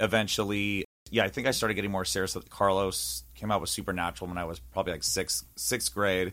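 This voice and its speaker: A man with an American accent speaks very fast at a very deep, low pitch, his vocal fry and very wide pitch swings captured on a very clean recording with a silent background. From Northern California (East Bay). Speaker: singer-songwriter. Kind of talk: casual interview chat. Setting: radio studio.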